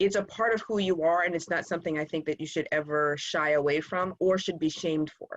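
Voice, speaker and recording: Hardly any pauses break up this woman's fairly quick delivery. Her pitch is fairly low and her intonation fairly even. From New Jersey by way of South Carolina. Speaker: panel moderator. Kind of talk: panel discussion.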